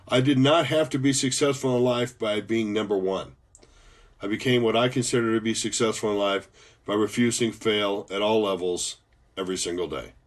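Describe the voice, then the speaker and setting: A man with an American accent and an unremarkable speaking voice, medium in pitch with ordinary pitch variation, at a fairly quick pace against a quiet background. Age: 60s. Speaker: motivational speaker, former professor and pilot. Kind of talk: motivational talk.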